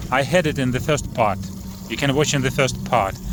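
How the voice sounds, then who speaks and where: A man speaks with very wide pitch swings. Noticeable background noise runs behind him. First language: not English. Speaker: fishing and boat prop reviewer. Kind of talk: casual tutorial vlog. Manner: halting, many fillers.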